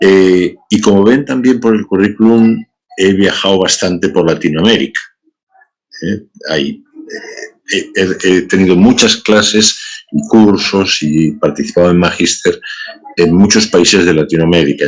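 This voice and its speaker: A man speaks at a fairly slow pace in a very deep, low pitch. His pitch varies in an ordinary way. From Spain. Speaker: bioethics professor. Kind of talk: lecture. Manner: many filler sounds.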